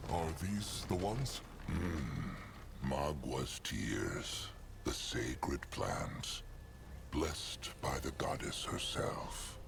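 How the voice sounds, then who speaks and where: Through loud background noise, a man in a put-on character voice speaks at a very slow pace. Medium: game stream. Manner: speaks of himself in third person.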